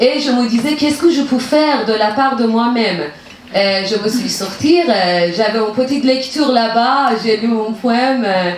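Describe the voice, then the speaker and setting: Amid audible room echo and noticeable background noise, a woman with a Persian accent speaks at a fairly slow pace in a fairly high pitch with ordinary pitch variation. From Iran, Tehran. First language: Persian (speaking French). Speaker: poet. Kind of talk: public talk with audience. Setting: museum event with audience. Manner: halting, many hesitations.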